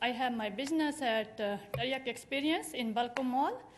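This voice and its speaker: A woman's high voice with ordinary pitch variation and audible room echo. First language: not English. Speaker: small shop owner speaking at public comment. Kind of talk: public comment testimony. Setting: city council meeting. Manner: halting.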